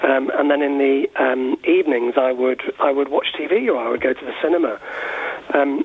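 A man with an English accent talks at a moderate pace with a fairly high pitch and ordinary pitch variation. Noticeable background noise runs beneath him. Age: 40s. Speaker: university lecturer and author. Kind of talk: radio interview. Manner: hesitant, many fillers.

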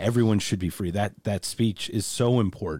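A man with an American accent speaks in a fairly low pitch and a dark, mellow tone. The recording is very clean, with a silent background. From United States. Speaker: podcast host. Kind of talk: casual interview. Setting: video recording.

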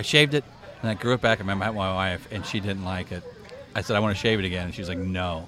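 Talking very fast, a man with a very deep, low voice is heard over noticeable background noise. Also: ordinary pitch variation. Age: 50s. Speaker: barbecue social media creator. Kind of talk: casual chat. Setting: outdoors at a barbecue event.

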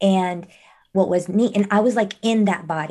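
A woman speaks at a medium pitch, somewhat breathy, with ordinary pitch variation. The background is quiet. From Mexico (Monterrey). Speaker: mindfulness coach. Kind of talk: casual chat.

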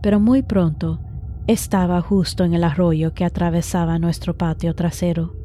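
A woman talks fairly slowly while noticeable noise carries on behind her. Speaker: podcast host and horror storyteller. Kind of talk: scripted horror story narration.

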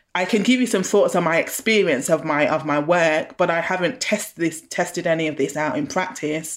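At a moderate pace, a woman speaks with ordinary pitch variation in a very clean recording with a silent background. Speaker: faith leader. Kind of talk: interview.

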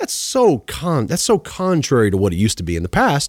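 The voice swings very widely in pitch and has vocal fry. The sound is dry and close, with no echo. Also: man. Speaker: finance podcast host and author. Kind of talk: interview. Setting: in-person studio.

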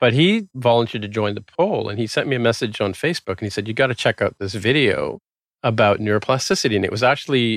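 At a fairly quick pace, a man with a normal speaking voice talks at a medium pitch, the sound dry and close with no echo over a quiet background. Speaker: software developer and tech podcaster. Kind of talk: casual interview chat.

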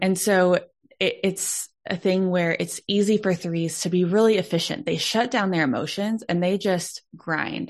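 Against a quiet background, a woman with an American accent uses a normal speaking voice at medium pitch, with ordinary pitch variation and a fairly slow pace. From Texas, Dallas. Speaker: Enneagram consultant and speaker. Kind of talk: podcast interview.

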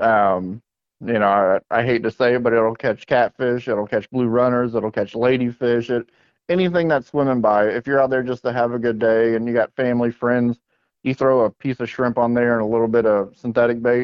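A man with an American accent and a plain, everyday voice, at medium pitch and a moderate pace. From South Florida (West Palm Beach). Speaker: fishing rod and rig maker. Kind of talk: casual interview.

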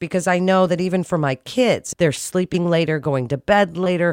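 This woman has a normal speaking voice with fairly low pitch. She talks at a fairly quick pace. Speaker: podcast host. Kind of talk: interview.

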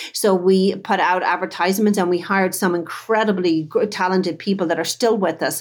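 This woman speaks with a Dublin accent at a moderate pace. Her pitch is medium, and the recording is very clean with a silent background. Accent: Irish (Dublin). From Dublin, Ireland. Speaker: chocolate business owner. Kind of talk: casual interview.

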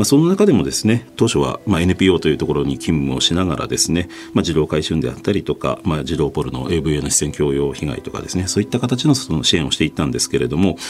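Over noticeable background noise, a man with a very deep, low pitch talks very fast with lively intonation and hardly any pauses. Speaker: NGO founder. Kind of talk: interview. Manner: hesitant.

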